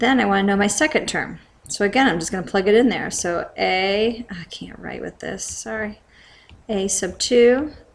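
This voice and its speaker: Woman, medium pitch, vocal fry, ordinary pitch variation, fairly slow pace. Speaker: math teacher. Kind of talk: tutorial.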